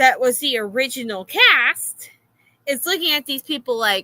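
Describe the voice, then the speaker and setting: A woman with an American accent speaks in a high pitch, her voice raised and projected with lively intonation. The tone is bright and sharp, and the sound is dry and close with no echo. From Florida. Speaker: streamer reacting to videos. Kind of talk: casual reaction stream rant.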